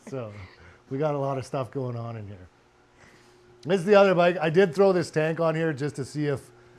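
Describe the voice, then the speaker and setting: The pace is moderate. Intonation is lively. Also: man. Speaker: car and motorcycle restoration vlogger. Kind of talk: casual chat. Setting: home garage workshop. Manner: loud.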